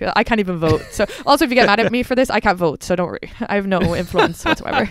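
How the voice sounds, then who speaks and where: A woman at a medium pitch, very fast and animated, with lively intonation over noticeable background noise. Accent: Irish. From Ireland. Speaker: stand-up comedian. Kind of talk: casual chat.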